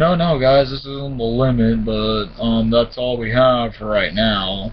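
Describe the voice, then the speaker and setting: Noticeable background noise sits behind a man with a medium-pitched voice. He speaks fairly slowly with lively intonation. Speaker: gaming vlogger. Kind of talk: casual monologue. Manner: stuttering, pausing.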